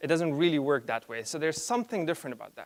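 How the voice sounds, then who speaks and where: Heard in a dry, close sound with no echo, a man talks very fast at a fairly high pitch. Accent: non-native. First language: not English. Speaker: conference speaker. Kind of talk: conference talk. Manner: halting, with fillers and self-corrections.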